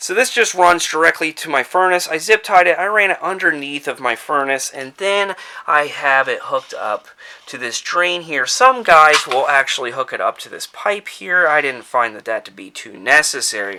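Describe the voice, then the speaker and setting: Over noticeable background noise, a man with a fairly high pitch speaks at a moderate pace, showing very wide pitch swings and big swings in loudness. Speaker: DIY homeowner. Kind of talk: tutorial. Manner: casual.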